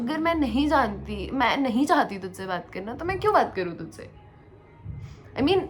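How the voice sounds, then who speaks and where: A high-pitched woman at a fairly slow pace, with very wide pitch swings, big swings in loudness, long, frequent pauses and music in the background. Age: 20s. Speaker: tech podcast co-host. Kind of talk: casual podcast conversation.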